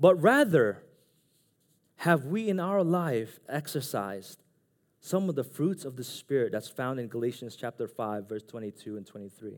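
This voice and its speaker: A man's voice with very wide pitch swings on a very clean recording with a silent background. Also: medium pitch for a man, moderate pace, big swings in loudness. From Philippines. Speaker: preacher. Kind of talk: sermon. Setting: church.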